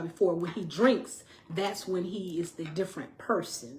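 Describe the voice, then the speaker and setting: Breathy to some degree, a woman speaks at a medium pitch. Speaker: domestic violence survivor telling her story. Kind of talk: personal storytelling to viewers. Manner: animated.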